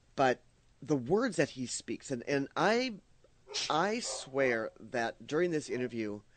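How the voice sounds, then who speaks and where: A man with a fairly high pitch speaks at a fairly slow pace. His intonation is lively. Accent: Minnesotan. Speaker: radio host. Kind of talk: casual chat. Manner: halting, many fillers and repeats.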